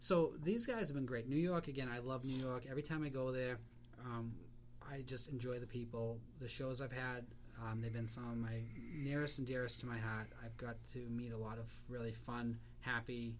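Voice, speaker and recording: A man's medium-pitched voice in a Boston accent, with audible room echo. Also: fairly even intonation, moderate pace. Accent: Boston accent, noticeable. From South Shore, Massachusetts (greater Boston). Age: 40s. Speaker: comic book writer and artist. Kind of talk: casual chat. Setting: recorded at a craft beer store.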